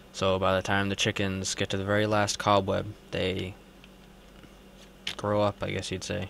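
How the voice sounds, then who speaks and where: The man speaks at a moderate pace with fairly low pitch and monotone, flat intonation. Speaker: Minecraft gamer. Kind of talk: casual gameplay commentary.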